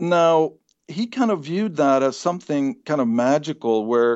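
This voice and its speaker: A man with a Swedish accent speaks at a moderate pace with lively intonation. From Sweden. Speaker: psychology professor. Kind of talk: interview. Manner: halting, many repeated words.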